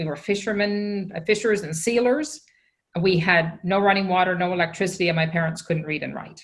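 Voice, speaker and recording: A woman talks at a fairly quick pace, her pitch medium with ordinary variation. Audible room echo surrounds her voice. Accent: Newfoundland. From Newfoundland, Canada (Fogo Island). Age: 60s. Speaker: social entrepreneur. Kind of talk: conference keynote conversation.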